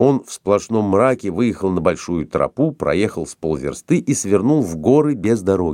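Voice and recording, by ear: Intonation in this clip is lively. It is reading aloud in a natural voice.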